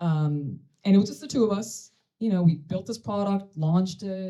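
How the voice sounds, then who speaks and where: A woman's somewhat breathy, dark, mellow voice sits at a medium pitch, with ordinary pitch variation and a moderate pace. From Sudan. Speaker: tech company CEO and co-founder. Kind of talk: conference panel talk.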